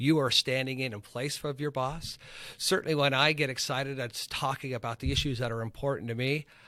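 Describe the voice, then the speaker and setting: On a very clean recording with a silent background, a man speaks loudly at a fairly quick pace, with a medium pitch and a bright, sharp tone. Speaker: high school government teacher, former congressional aide. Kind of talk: interview conversation. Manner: gets louder and excited on issues he cares about.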